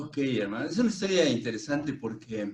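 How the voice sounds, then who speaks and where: Somewhat breathy, a man speaks at a medium pitch with lively intonation. His pace is moderate. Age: 60s. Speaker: Reiki master and psychologist. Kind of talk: casual chat.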